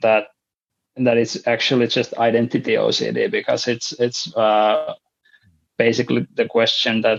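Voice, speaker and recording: At a moderate pace, a man speaks with a Finnish accent. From Finland. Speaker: podcast guest sharing mental health story. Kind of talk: interview. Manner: halting, many fillers and repetitions.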